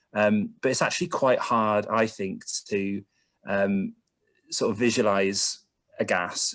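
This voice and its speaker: A fairly slow delivery with a slight Bristol accent. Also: man. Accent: Bristolian, slight. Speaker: carbon emissions consultant. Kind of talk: online presentation. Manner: hesitant, many fillers.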